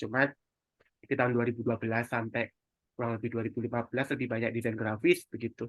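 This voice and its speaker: This man's tone is bright and sharp. He talks at a fairly quick pace. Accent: strong Javanese. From East Java, Indonesia (Sidoarjo). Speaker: digital marketing mentor. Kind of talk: webinar presentation. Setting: online webinar. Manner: casual, conversational.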